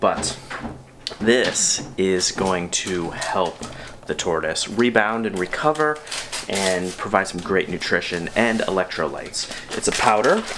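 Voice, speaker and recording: With lively intonation and a fairly low pitch, a man speaks at a fairly slow pace over noticeable background noise. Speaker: tortoise keeper and video creator. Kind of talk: casual video diary tutorial. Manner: quiet.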